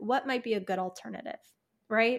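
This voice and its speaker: With an American accent, a woman speaks in a plain, everyday voice, fairly high in pitch, with ordinary pitch variation. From US Midwest, Chicago. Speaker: herbalist and alternative health practitioner. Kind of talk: casual interview chat.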